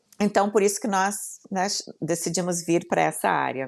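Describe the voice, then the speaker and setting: A woman with a southern Brazilian accent, vocal fry, fairly even intonation and a moderate pace over a quiet background. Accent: gaúcho Brazilian Portuguese. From southern Brazil, Rio Grande do Sul. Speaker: entrepreneur and business mentor. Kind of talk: podcast interview.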